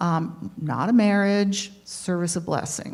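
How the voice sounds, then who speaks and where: A woman's somewhat breathy, dark, mellow voice carries lively intonation on a very clean recording with a silent background. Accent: American. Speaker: retired attorney, new resident of a retirement community. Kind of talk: life story talk to an audience.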